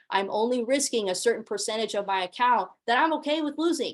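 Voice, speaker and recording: A woman with a fairly high pitch has an unremarkable speaking voice. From US, Mexican-American family. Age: 20s. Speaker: forex trading educator. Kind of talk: online sales pitch webinar. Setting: online group call. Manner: casual, filler-heavy.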